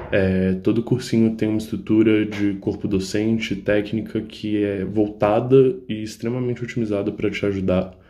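A flat, monotone delivery with a dark, mellow tone. There are hardly any pauses. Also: man, fairly low pitch for a man, moderate pace. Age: 20s. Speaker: economics graduate, former student of prep course. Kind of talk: testimonial. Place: home room. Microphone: phone near.

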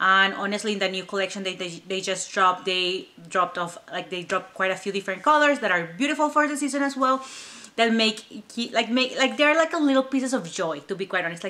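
A woman with a non-native accent, medium in pitch with very wide pitch swings, at a fairly quick pace. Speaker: YouTube handbag reviewer. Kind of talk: casual vlog chat. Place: home room.

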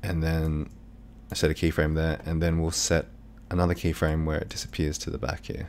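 This man speaks at a moderate pace with a very deep, low pitch. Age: 30s. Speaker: video editing tutor. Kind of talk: tutorial. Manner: casual, hesitant with fillers.

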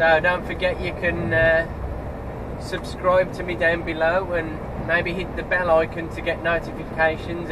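A man speaking at a moderate pace over noticeable background noise. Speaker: truck driver vlogger. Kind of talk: casual vlog chat. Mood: cheerful, relaxed. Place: car.

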